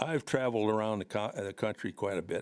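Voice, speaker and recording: In a very clean recording with a silent background, a man with an American accent talks at a moderate pace in a fairly low pitch. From Watertown, South Dakota (US Midwest). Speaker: resident at public comment. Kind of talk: public comment. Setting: city council meeting. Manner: halting.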